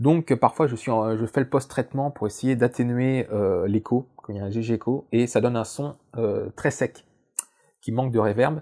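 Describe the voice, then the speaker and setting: This man has a medium-pitched voice with a dark, mellow tone. His intonation stays fairly even, and the sound is dry and close with no echo. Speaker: science YouTuber. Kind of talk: casual vlog. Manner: very fast; hesitant, many fillers.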